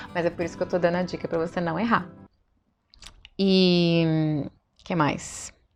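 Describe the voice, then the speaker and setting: A woman with a Brazilian accent, fairly low in pitch, monotone and flat in intonation, at a fairly slow pace with long, frequent pauses. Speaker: vlogger. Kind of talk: casual vlog talk.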